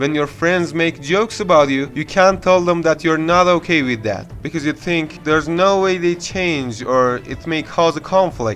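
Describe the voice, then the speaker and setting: Over noticeable background noise, a man with a fairly high pitch speaks at a moderate pace with lively intonation. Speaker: self-help YouTuber. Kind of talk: self-help voice-over narration.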